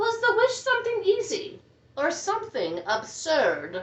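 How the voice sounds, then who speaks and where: Extremely high pitch in a woman's put-on character voice, moderately paced. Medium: read story.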